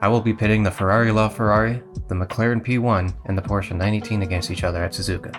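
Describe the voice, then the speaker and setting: A man speaks at a very fast pace with fairly low pitch. His intonation stays fairly even, and music plays in the background. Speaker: sim racing video creator. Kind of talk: casual narration to camera.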